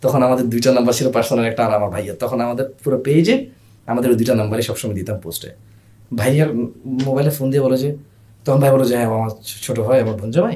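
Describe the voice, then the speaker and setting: A man's dark, mellow voice at medium pitch. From grew up abroad (Saudi Arabia), Bangladeshi family. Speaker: e-commerce founder. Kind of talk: casual interview. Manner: loud; animated.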